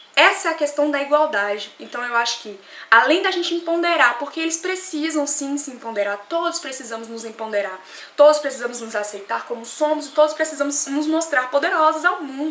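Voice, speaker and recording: Over noticeable background noise and audible room echo, a woman talks fairly quickly in a high voice with lively intonation and big swings in loudness. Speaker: vlogger. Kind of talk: opinion vlog. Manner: fast.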